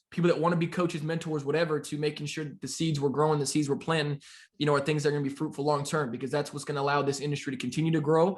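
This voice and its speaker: A man with an American accent talks at a very fast pace in a fairly high pitch. His voice is somewhat breathy, with monotone, flat intonation. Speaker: forex trading mentor. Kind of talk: podcast interview.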